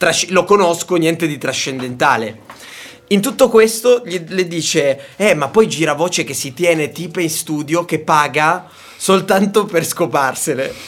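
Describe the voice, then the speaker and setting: Over noticeable background noise, a man with a high-pitched voice talks in an animated tone at a fairly slow pace, his intonation lively. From Sicily and Tuscany, Italy. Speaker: radio call-in show host. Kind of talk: casual call-in banter.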